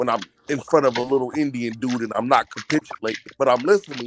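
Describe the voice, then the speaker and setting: A man has a plain, everyday voice at medium pitch, with ordinary pitch variation and a fairly quick pace, in a dry, close sound with no echo. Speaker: caller. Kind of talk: casual chat.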